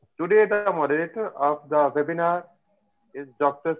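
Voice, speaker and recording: A man with an Indian accent at a moderate pace, with ordinary pitch variation and a quiet background. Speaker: physiotherapist and event organizer. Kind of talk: formal welcome address. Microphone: video call.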